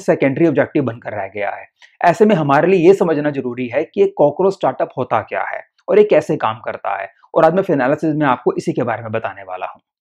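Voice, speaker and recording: A man speaks with vocal fry, his pitch swinging very widely and his loudness rising and falling sharply against a quiet background. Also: moderate pace. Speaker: finance explainer host. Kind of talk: explainer presentation in Hindi.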